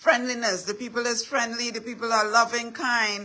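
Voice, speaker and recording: Fairly high in pitch, a woman's voice comes through in a bright, sharp tone with a Trinidadian accent. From Trinidad and Tobago. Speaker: inspirational speaker. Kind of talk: motivational talk. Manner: repetitive, emphatic.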